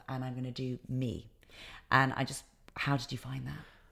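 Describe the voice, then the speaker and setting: On a very clean recording with a silent background, a woman with a British accent speaks at a fairly quick pace in a very deep, low pitch. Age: 20s. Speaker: podcast host. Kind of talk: casual interview.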